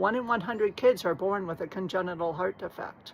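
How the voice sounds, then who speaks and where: A woman speaks at a fairly quick pace. It is a normal speaking voice. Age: 60s. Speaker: vlogger. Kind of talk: personal story monologue.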